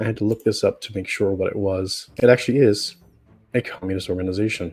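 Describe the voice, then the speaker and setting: Fairly even intonation carries over music in the background. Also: man. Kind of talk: commentary video talk to camera.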